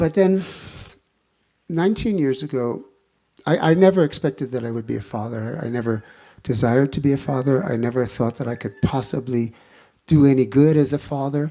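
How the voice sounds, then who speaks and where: On a very clean recording against a silent background, a man with a dark, mellow tone speaks at a fairly quick pace, broken by long, frequent pauses. His pitch sits in the medium range and varies in an ordinary way. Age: 70s. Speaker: kirtan singer and retreat leader. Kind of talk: spiritual talk. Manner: halting.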